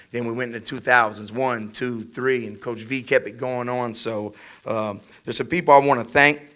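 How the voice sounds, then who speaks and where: A man with a medium-pitched voice talks at a moderate pace, and his loudness swings widely. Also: fairly even intonation. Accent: American. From Louisiana, Welch (southwest Louisiana). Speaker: college football head coach. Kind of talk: press conference speech. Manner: passionate, emphatic.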